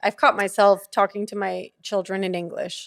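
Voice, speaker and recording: A woman with a Spanish accent at medium pitch and moderate pace, in a dry, close sound with no echo on a very clean recording with a silent background. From Venezuela. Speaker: podcast host. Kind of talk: casual chat.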